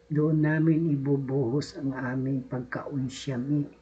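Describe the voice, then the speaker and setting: Over noticeable background noise, the words come out at a very slow pace. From Bicol region, Philippines. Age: old. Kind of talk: casual political commentary to camera.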